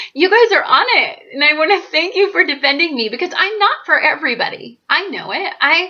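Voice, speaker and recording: With an extremely high pitch and very wide pitch swings, a woman uses a raised, projected voice and an animated tone, talking at a fairly quick pace with hardly any pauses. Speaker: astrologer YouTuber. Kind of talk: casual monologue to camera. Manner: loud.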